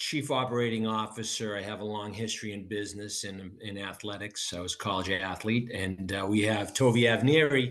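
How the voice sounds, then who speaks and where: With a Boston accent and a fairly low pitch, a man talks with hardly any pauses amid audible room echo. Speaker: business co-founder and football coach. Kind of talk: interview.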